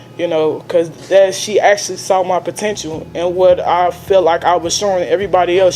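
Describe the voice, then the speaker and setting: With music in the background, a woman speaks in a fairly low, monotone, flat voice. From Chicago, Illinois, US Midwest. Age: 20s. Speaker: formerly homeless mother, cleaning supervisor. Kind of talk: testimony interview.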